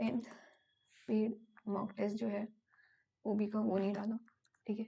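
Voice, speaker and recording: Her voice somewhat breathy with a dark, mellow tone, a woman speaks in a medium pitch at a fairly slow pace with monotone, flat intonation. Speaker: exam prep tutor. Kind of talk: tutorial. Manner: hesitant with fillers.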